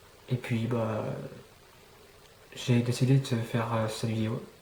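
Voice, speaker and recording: A man speaks at medium pitch in a monotone, flat way. Noticeable background noise runs underneath. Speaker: YouTuber. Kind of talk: casual vlog monologue. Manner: halting, many fillers.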